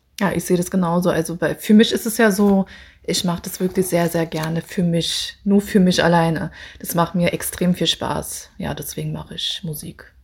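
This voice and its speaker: At a moderate pace, a woman talks in a fairly low, somewhat breathy voice with fairly even intonation. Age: 30s. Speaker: singer. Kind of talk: self-interview, casual.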